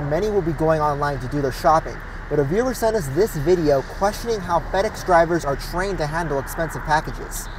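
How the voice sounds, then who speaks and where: Over noticeable background noise, a man with an American accent speaks at a fairly quick pace with lively intonation. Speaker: TV news anchor and reporter (intern). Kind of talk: TV news anchor and reporter delivery. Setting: studio anchor desk.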